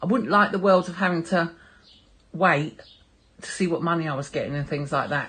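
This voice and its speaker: A woman speaks with a London accent. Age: 60s. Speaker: artist and former model. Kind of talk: interview answers.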